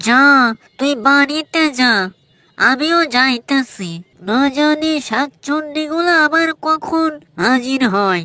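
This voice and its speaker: A woman puts on a cartoonish character voice with a high pitch and lively intonation. She speaks at a very slow pace. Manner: worried, resigned.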